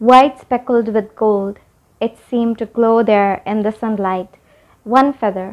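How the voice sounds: Text read in a natural reading voice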